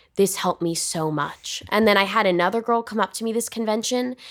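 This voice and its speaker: A woman with a Californian accent at a fairly quick pace. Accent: Californian American. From Los Angeles, US. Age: 20s. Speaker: film actress. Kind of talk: casual chat. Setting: hotel room.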